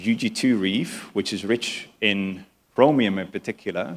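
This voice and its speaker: Here a man speaks with a Dutch accent. His fairly low voice shows ordinary pitch variation. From Netherlands. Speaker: mining consultancy CEO. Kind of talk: conference keynote. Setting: conference stage with live translators.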